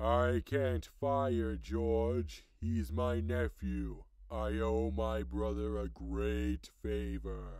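A raspy man speaks at a very slow pace. His pitch is very deep and low. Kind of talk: mock-grand divine voice turning casual. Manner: solemn at first, then irritated and offhand.

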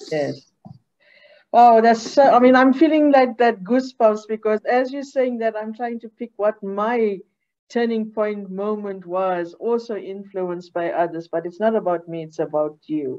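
In a quiet setting, a woman with a fairly high pitch and a dark, mellow tone speaks at a moderate pace, her loudness swinging widely. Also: lively intonation. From South Africa. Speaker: academy executive officer, interviewer; interviewer. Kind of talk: moderated interview. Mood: warm, smiling, friendly. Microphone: video call.

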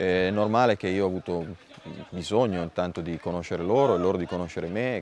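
At a very fast pace, a man speaks in a very deep, low pitch with ordinary pitch variation. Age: 40s. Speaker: youth football coach. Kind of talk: interview. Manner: halting.

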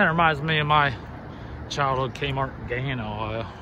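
Fairly even intonation carries speech at a fairly quick pace. The sound is dry with no echo, though background noise is noticeable. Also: man. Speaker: urban explorer vlogger. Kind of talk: casual vlog commentary. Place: street.

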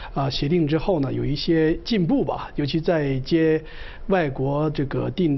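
Delivered at a moderate pace, a normal speaking voice carries fairly even intonation. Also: man. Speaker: professor. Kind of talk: live TV panel discussion. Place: studio. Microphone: lapel.

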